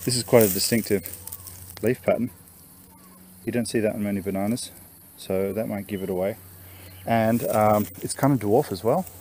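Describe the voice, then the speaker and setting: Over light background noise, a man talks at a moderate pace with a fairly low pitch, long and frequent pauses, and a dry sound with no echo. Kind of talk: casual walkthrough commentary. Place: garden. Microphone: phone near.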